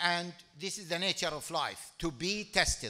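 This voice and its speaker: Bright, sharp in tone, a man speaks at a fairly slow pace. The background is quiet. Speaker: speaker. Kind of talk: speech. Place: hall. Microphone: podium.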